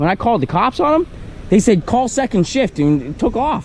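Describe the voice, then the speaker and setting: Amid noticeable background noise, a man speaks at a fairly quick pace with an extremely high pitch and very wide pitch swings. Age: 40s. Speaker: man complaining about police arrest. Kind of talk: casual chat. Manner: animated.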